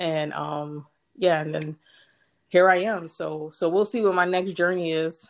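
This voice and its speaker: With an American accent, a woman uses a normal speaking voice at a fairly slow pace and with fairly even intonation. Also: fairly low pitch for a woman. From Brooklyn, New York. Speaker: Marine Corps veteran. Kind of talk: casual chat. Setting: internet call.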